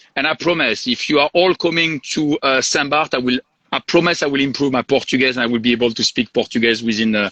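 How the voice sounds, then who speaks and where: Very fast speech from a man with a French accent, fairly high in pitch and bright, sharp in tone, with a dry, close sound and no echo. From southern France. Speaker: hotel sales and marketing director. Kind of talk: live interview. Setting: video call from the hotel property.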